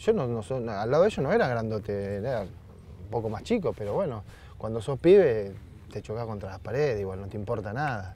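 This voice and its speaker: A man speaks at a fairly quick pace in a dark, mellow, somewhat breathy tone with ordinary pitch variation and big swings in loudness. The sound is dry with no echo, with light background noise. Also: medium pitch for a man. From Argentina, Berazategui (Greater Buenos Aires); Argentina. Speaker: retired footballer; TV guest. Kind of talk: casual interview chat. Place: garden. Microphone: lapel.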